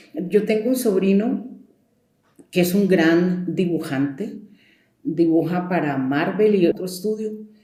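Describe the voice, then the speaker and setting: With audible room echo, a woman of medium pitch speaks at a fairly slow pace, showing ordinary pitch variation and long, frequent pauses. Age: 70s. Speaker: storyteller. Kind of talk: interview. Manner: conversational.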